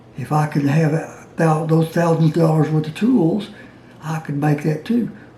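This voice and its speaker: A man's fairly high voice over noticeable background noise. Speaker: DIY maker and retired science teacher. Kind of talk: casual talk to camera. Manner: halting.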